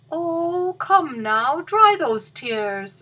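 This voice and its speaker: A woman's put-on character voice, high in pitch with very wide pitch swings. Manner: gentle, kind.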